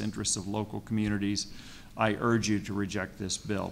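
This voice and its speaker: Over noticeable background noise, a man speaks at a fairly quick pace and a fairly low pitch. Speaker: council president. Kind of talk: public testimony. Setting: public hearing with audience. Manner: fast.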